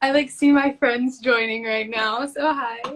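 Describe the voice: With fairly even intonation, a woman talks at a fairly slow pace, her pitch fairly high and her tone fairly bright.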